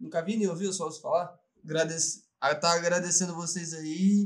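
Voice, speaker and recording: A man with a high voice, moderately paced and ordinary in pitch variation. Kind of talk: casual chat.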